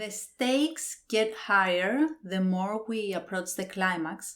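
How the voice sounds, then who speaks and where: A woman with a non-native accent speaks at a fairly high pitch and a very slow pace. Her pitch variation is ordinary, and the recording is very clean with a silent background. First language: not English. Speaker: book reviewer. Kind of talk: book review monologue. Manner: hesitant, with fillers.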